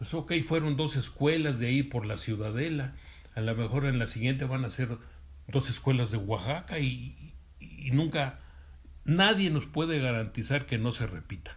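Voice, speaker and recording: At a moderate pace, a man with a medium pitch speaks with lively intonation and some vocal fry. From Mexico, Durango. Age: 60s. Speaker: interviewee, witness of 1968 student movement. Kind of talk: interview. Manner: halting, many fillers and repetitions.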